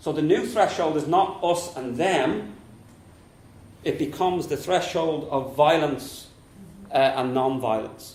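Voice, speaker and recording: In a strong Dublin accent, a man with a fairly high pitch speaks at a fairly slow pace with long, frequent pauses and ordinary pitch variation, amid audible room echo and noticeable background noise. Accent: thick Dublin. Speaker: politics professor and local councillor. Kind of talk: conference talk.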